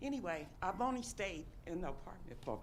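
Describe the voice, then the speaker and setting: Vocal fry and very wide pitch swings, with audible room echo. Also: woman. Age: 60s. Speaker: audience member. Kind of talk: testimony.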